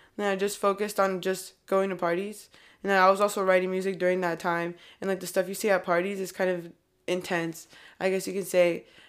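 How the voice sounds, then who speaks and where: A woman speaks at a medium pitch in monotone, flat intonation on a very clean recording with a silent background. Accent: Californian. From California. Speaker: rapper. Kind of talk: casual interview chat.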